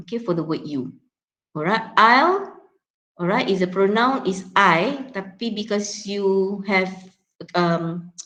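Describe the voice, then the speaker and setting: A woman with a Malaysian accent speaks at a very slow pace, her pitch medium with ordinary variation. Her tone is bright and sharp, broken by long, frequent pauses. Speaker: English pronunciation teacher. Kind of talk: classroom lecture, code-switching between English and Malay. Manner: hesitant, many fillers and repetitions.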